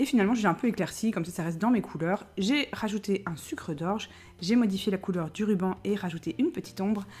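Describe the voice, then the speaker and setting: Soft-spoken, somewhat breathy delivery at a very fast pace with lively intonation. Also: woman. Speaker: DIY YouTuber. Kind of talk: tutorial.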